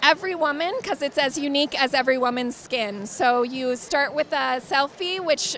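Light background noise sits under a dry sound with no echo, as the speech moves at a fairly slow pace with ordinary pitch variation. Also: woman. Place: hall. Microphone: handheld.

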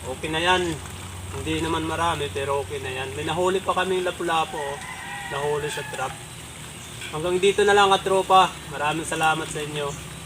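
A man with a fairly high pitch talks at a fairly quick pace, with ordinary pitch variation and long, frequent pauses, against noticeable background noise. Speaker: vlogger. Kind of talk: casual vlog narration. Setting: outdoors by a river.

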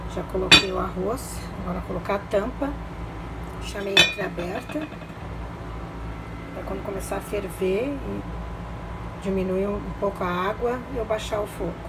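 The speech moves at a moderate pace, broken by long, frequent pauses, over loud background noise. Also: woman. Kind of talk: casual cooking vlog narration. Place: kitchen. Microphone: phone near.

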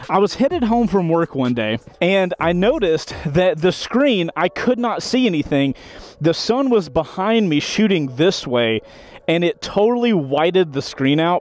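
A man speaks in a dry sound with no echo. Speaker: motorcycle reviewer. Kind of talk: product review commentary. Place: street. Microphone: camera far.

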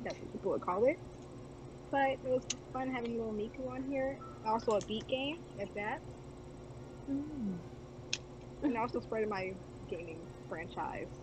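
A woman speaks with very wide pitch swings and long, frequent pauses. Noticeable background noise runs underneath. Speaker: convention panelist. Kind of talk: live-streamed panel discussion. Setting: video call. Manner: giggly. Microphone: video call.

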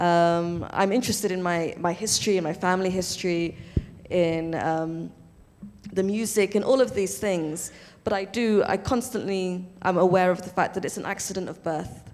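With a British accent, a woman speaks in a fairly even intonation. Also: moderate pace. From UK (born in Somalia). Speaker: novelist; panelist. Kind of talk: panel discussion. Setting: stage with live audience. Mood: thoughtful, reflective. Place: stage. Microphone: handheld.

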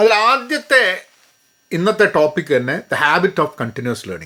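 A man speaks in a raised, projected voice. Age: 50s. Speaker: career coach. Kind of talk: educational talk. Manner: code-switching Malayalam and English.

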